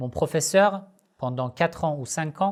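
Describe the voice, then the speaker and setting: Someone with a non-native accent speaks at a very slow pace on a very clean recording with a silent background. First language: not French (speaking French). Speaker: Shia Islamic religious teacher, YouTuber. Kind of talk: Q&A video monologue. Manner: halting, frequent hesitations.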